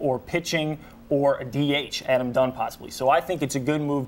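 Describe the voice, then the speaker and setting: A man's fairly high-pitched voice, an ordinary speaking voice, at a fairly quick pace. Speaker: sports anchor. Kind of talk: on-air banter with co-anchor.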